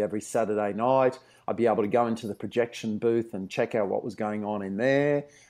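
Fairly low-pitched male speech in an Australian accent, fairly quick, with a dark, mellow tone, fairly even intonation and a quiet background. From Australia, Brisbane. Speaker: TV historian. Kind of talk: interview.

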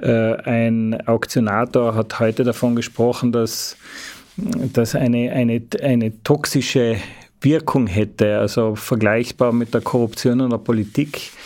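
In an Austrian accent, a man speaks at a fairly slow pace in a medium pitch, with monotone, flat intonation and very even loudness. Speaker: journalist. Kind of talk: interview. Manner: halting.

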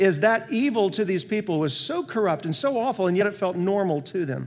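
A high-pitched man with an American accent at a fairly quick pace. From US Midwest, rural North Iowa. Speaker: pastor. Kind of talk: sermon.

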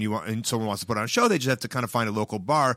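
In a very clean recording with a silent background, a man with an American accent speaks at a medium pitch in a bright, sharp tone with ordinary pitch variation. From Chicago, US Midwest. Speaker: pro wrestler and comedian. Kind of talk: casual chat.

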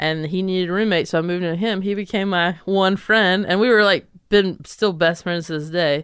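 A woman with an American accent talks at a fairly quick pace with hardly any pauses, her pitch medium and her intonation fairly even. The recording is very clean, with a silent background. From North Carolina, near Charlotte. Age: 30s. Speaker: stand-up comedian. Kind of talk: casual interview chat.

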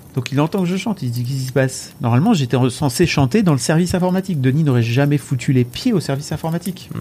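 A man's fairly high, somewhat breathy voice at a very fast pace, with lively intonation. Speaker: Twitch streamer. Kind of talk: casual chat. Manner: animated.

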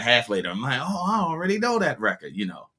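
A man with an American accent talks at a very fast pace. His tone is bright and sharp, with very wide pitch swings. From US, Baltimore. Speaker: music producer and DJ. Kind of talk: interview conversation.

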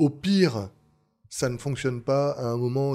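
Music plays in the background as a man talks. He speaks at a moderate pace with ordinary pitch variation. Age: 30s. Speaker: bar franchise co-founder. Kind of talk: interview. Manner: hesitant.

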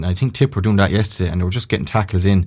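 The recording is very clean over a silent background. The speaker has a Tipperary accent and a monotone, flat intonation. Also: man. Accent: Irish, Tipperary. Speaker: former county hurler and pundit. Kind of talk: casual sports chat. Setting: studio.

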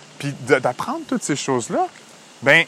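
Noticeable background noise fills the recording. A man talks fairly slowly over it. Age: 30s. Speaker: therapist and podcast co-host. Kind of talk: casual chat.

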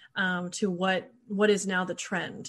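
Her intonation stays fairly even. This woman has a medium-pitched, somewhat breathy voice. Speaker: podcast host. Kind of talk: casual chat. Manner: informal, chatty.

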